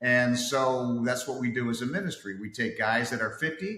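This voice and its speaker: In a plain, everyday voice, a man speaks at a medium pitch and a moderate pace with ordinary pitch variation. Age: 60s. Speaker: fitness coach. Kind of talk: casual interview.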